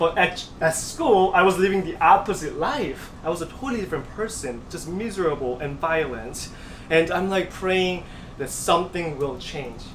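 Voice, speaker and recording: A man speaks with a Korean accent at a high pitch. His intonation is lively. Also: moderate pace. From South Korea. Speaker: pianist and composer. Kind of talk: interview answer.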